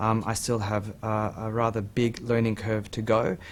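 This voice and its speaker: A man speaks with an Australian accent at a medium pitch. His intonation stays fairly even. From Australia, Sydney. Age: 40s. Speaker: amateur property investor. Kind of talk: TV interview.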